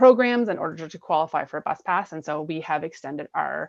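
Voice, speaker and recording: The sound is dry and close, with no echo, over a quiet background. A woman talks at a fairly quick pace with lively intonation. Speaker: municipal staff presenter. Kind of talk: committee meeting presentation. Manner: fast.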